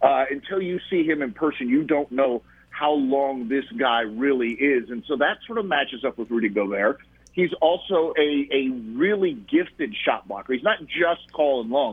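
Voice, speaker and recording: This man has an ordinary speaking voice, fairly high in pitch, with an American accent. His intonation is lively and his pace moderate. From US South. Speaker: basketball journalist. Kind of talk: radio interview. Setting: phone call.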